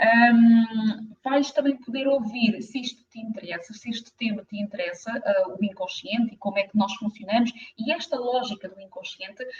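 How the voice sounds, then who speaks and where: This woman has a fairly high pitch and sounds somewhat breathy. Her pitch rises and falls in an ordinary way. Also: moderate pace, hardly any pauses, big swings in loudness. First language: French (speaking Portuguese). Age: 50s. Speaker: therapist. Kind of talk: live stream talk. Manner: hesitant, many fillers.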